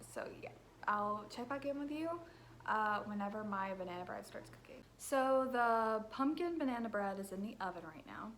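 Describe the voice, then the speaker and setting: Audible room echo surrounds a woman speaking at a fairly high pitch and moderate pace, with lively intonation and big swings in loudness. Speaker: book vlogger. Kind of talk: casual vlog. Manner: casual, filler-heavy.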